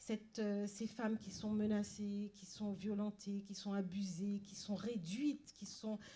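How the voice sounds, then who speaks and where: A woman speaks at a very slow pace. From Paris suburbs, France. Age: 60s. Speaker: novelist. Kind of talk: panel talk. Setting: library event with audience. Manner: halting, many repetitions and hesitations.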